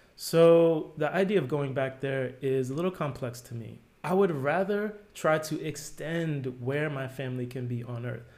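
A man's fairly high voice with an American accent, at a moderate pace with ordinary pitch variation and hardly any pauses, in audible room echo. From New Jersey, US. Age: 40s. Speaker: product designer. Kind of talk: casual interview.

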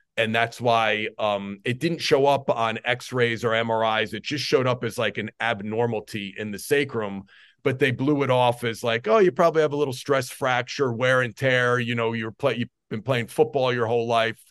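Fairly even intonation from a man with a New Jersey accent, hardly any pauses. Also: medium pitch for a man, moderate pace, quiet background. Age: 40s. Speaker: strength coach. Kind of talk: interview.

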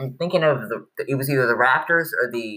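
This man speaks with an American accent, a bright, sharp tone, lively intonation and a fairly high pitch. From Chicago. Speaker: sports podcast host. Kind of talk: casual chat.

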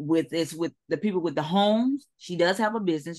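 Over a quiet background, a woman with a fairly low pitch uses ordinary pitch variation in an ordinary speaking voice. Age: 50s. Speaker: webinar attendee, construction remodeler. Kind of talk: casual Q&A.

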